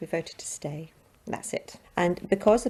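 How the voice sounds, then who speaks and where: A woman with a Scottish accent, her dark, mellow tone touched by vocal fry, with ordinary pitch variation. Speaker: interviewee in street vox pop. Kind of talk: vox pop interview.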